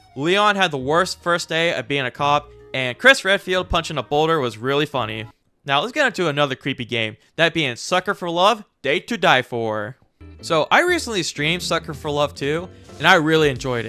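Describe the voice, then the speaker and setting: With music in the background, a man speaks at a moderate pace in a fairly high pitch with lively intonation, the sound dry and close with no echo. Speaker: gaming video creator. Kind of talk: casual game review talk to camera.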